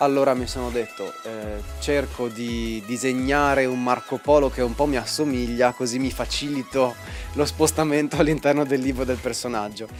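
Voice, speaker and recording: A man with a Venetian accent, medium pitch, ordinary pitch variation and a moderate pace, over background music. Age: young. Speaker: illustrator. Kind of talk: interview answer.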